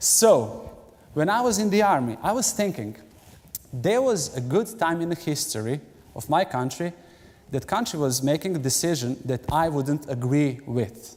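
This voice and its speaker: A man with a Serbian accent, fairly high-pitched, with very wide pitch swings and a moderate pace. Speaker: pastor. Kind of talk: sermon. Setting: church.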